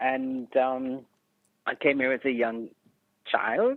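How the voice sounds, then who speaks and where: Speaking very slowly, a woman with a slight Jamaican accent has a very deep, low pitch. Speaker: retired educator and community leader. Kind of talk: podcast interview.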